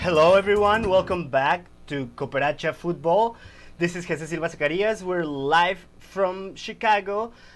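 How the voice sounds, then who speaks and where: A man speaks at a high pitch with a Spanish accent and ordinary pitch variation. Music plays in the background. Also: moderate pace. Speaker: football podcast host. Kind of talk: casual sports chat. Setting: live stream. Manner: halting, stumbling over words.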